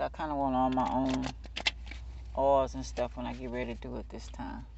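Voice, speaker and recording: A man's voice comes through dry, with no echo, at a moderate pace amid noticeable background noise. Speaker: tarot reader. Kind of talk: casual reading chat. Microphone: phone near.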